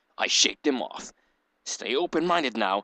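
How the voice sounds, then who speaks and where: Using a put-on character voice at medium pitch, a man talks at a moderate pace, the sound dry and close with no echo over a quiet background. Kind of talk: mock-dramatic reading. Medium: game stream.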